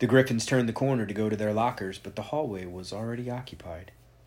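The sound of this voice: Ordinary pitch variation shapes the speaker's unforced reading voice.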